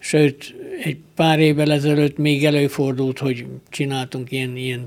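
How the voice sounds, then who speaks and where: A man talks at a fairly high pitch in a monotone, flat delivery. His pace is fairly slow. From Romania, Partium (Székelyhíd, Bihor). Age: 70s. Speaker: archer and honorary citizen. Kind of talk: radio interview. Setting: studio.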